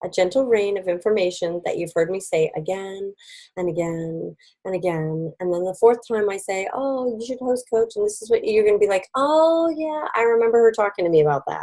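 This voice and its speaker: At a fairly quick pace, a woman talks with lively intonation in a medium-pitched voice with a dark, mellow tone. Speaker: direct sales team director and trainer. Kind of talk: online training presentation. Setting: video call with screen share. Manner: fast.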